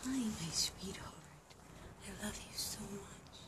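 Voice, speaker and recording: A woman whispers. Her pace is very slow. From Bosnia. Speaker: stray dog rescuer. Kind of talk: casual talk to camera. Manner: quiet, hushed; affectionate, baby talk to dogs. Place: street. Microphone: phone near.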